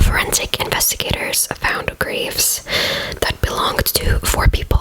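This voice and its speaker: Whispered words come through amid noticeable background noise. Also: woman. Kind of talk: true crime ASMR narration.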